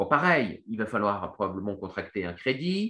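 A man speaks with lively intonation at a fairly low pitch. His tone is bright and sharp. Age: 30s. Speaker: economist and investment newsletter founder. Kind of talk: Q&A explainer. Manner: hesitant, many fillers and repetitions.

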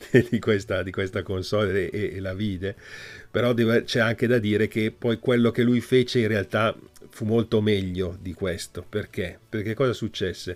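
On a very clean recording with a silent background, a man with an ordinary speaking voice talks at a moderate pace in a fairly low pitch, his intonation fairly even. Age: 50s. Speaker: video game journalist and historian. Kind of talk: casual interview.

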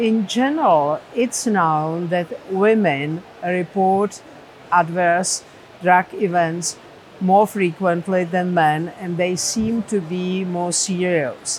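There is noticeable background noise. A woman speaks very slowly in a Czech accent. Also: medium pitch for a woman, ordinary pitch variation. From Czech Republic. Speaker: professor of medicine. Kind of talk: interview.

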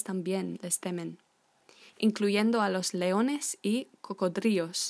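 A woman with an unremarkable speaking voice talks at a moderate pace. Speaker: language teacher. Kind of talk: tutorial. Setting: podcast recording. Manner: informal, friendly, with fillers.

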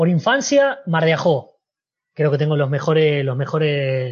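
A man's fairly high voice in an Argentine accent at a fairly slow pace. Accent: Argentine Spanish (Rioplatense). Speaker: former footballer. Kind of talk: interview.

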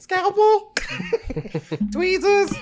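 This is a put-on character voice in a New Jersey accent. It is squeaky and extremely high-pitched. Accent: New Jersey style.

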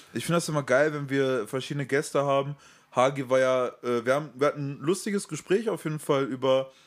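A man talks at a fairly quick pace in a fairly high pitch with ordinary pitch variation, in an ordinary speaking voice. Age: 20s. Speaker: podcast co-host. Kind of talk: casual chat.

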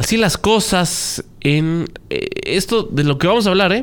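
Vocal fry runs through a man's voice. He speaks at a fairly slow pace. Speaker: radio news anchor. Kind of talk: news show chat.

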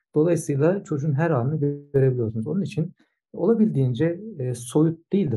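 A somewhat breathy man talks at a fairly quick pace. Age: 50s. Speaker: swimming coach and sports science professor. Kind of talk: interview. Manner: hesitant, many filler sounds.

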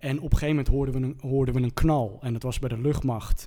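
This man's voice has a dark, mellow tone and a fairly high pitch. His pitch variation is ordinary. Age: 30s. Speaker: TV presenter and DJ. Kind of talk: casual chat.

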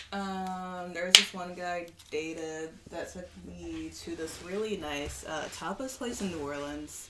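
Speaking fairly slowly with an American accent, a woman with a fairly low pitch shows ordinary pitch variation and big swings in loudness over noticeable background noise. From Kansas. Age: 20s. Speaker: guest. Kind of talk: casual chat.

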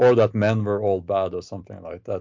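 This man speaks with a Norwegian accent. His pitch sits fairly low. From Norway. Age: 40s. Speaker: novelist and YouTuber. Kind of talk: interview conversation. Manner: hesitant, halting with fillers.

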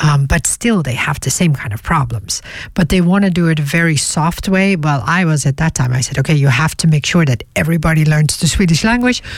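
Talking at a fairly quick pace with hardly any pauses, a woman uses lively intonation in a very deep, low, somewhat breathy voice. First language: Dutch.

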